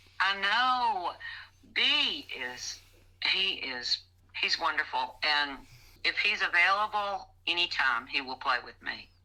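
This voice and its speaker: A woman with an American accent speaks at a very slow pace, with long, frequent pauses, a medium pitch, and vocal fry. Her bright, sharp tone has very wide pitch swings and big swings in loudness. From Mississippi, US South. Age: old. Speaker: blues musician. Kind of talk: casual interview chat.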